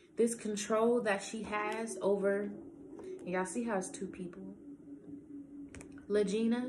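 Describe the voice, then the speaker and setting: A fairly slow pace with ordinary pitch variation and long, frequent pauses, plus audible room echo and noticeable background noise. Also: woman. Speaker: tarot reader. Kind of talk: tarot reading monologue. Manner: casual, conversational.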